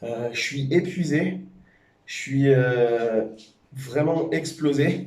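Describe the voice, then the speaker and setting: This man's voice sits fairly high, with ordinary pitch variation, a dark, mellow tone, a somewhat breathy quality and audible room echo. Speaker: powerlifting vlogger and coach. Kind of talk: casual vlog talk to camera. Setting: gym after training session. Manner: halting, many hesitations.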